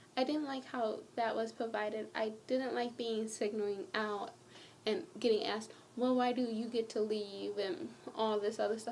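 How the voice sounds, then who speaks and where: Over noticeable background noise and audible room echo, a woman with a fairly high pitch talks at a moderate pace with ordinary pitch variation. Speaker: vlogger. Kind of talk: personal vlog. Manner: rambling, jumping between topics.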